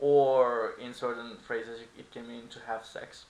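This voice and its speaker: In a Turkish accent, a man talks with monotone, flat intonation, and audible room echo surrounds his voice. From Turkey. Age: 20s. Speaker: language teacher. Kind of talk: tutorial. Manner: casual.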